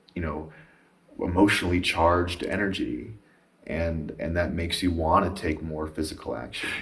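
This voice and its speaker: Very deep and low in pitch, a man speaks at a moderate pace with fairly even intonation, with audible room echo. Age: young. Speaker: podcast host. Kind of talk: casual chat.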